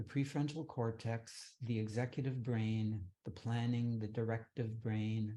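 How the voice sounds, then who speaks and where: A man speaks in a calm tone at medium pitch and a fairly slow pace, his voice dark and mellow. His loudness stays very even, his intonation fairly even, and the background is quiet. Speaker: meditation teacher. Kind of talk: guided meditation. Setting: online session. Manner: calm, lowered tone.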